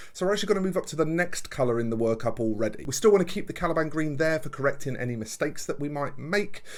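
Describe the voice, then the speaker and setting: Talking at a very fast pace, a man keeps his intonation lively. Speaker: miniature painter and channel host. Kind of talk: tutorial.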